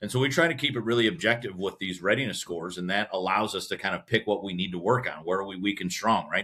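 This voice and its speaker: Speaking very fast in a Midwestern American accent, a man uses ordinary pitch variation. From US Midwest, Cleveland, Ohio. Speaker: business association president. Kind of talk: podcast interview.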